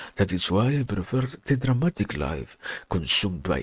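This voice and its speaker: A somewhat breathy man at a moderate pace, with very wide pitch swings. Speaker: reader. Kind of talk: philosophy reading.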